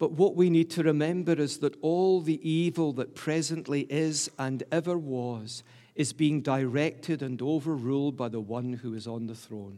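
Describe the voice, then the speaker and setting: With a Glasgow accent, a man speaks at a moderate pace and a fairly high pitch in a dark, mellow tone, using ordinary pitch variation and hardly any pauses. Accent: Scottish (Glaswegian). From Glasgow, Scotland. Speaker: preacher. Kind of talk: sermon. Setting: church.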